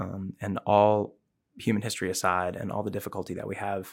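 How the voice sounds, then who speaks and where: In a plain, everyday voice, a man with a fairly low pitch talks at a fairly quick pace on a very clean recording with a silent background. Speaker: church campus pastor and Bible teacher. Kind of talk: casual conversational Bible discussion.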